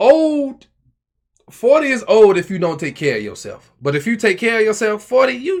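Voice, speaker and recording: A man talks in a high voice. His pitch swings very widely. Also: moderate pace. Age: 20s. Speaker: podcast co-host. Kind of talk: casual chat.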